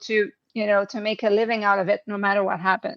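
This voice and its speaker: Someone talks at a fairly quick pace in a French-Canadian accent. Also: woman. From Quebec. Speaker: executive coach and hypnotherapist. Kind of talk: interview conversation. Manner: halting, many fillers.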